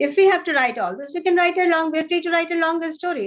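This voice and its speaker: A woman with an Indian accent. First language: Hindi. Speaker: author. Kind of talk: interview.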